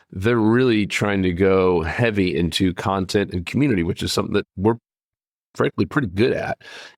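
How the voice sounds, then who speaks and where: The man has a normal speaking voice, fairly low in pitch with ordinary pitch variation, moving at a moderate pace in a dry, close sound with no echo. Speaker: podcast host and fishing company co-founder. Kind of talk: casual monologue.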